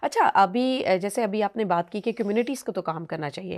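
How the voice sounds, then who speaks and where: A woman speaks in a plain, everyday voice with medium pitch and lively intonation. The recording is very clean, with a silent background. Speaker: radio host and programme manager. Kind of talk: radio podcast host, conversational interview.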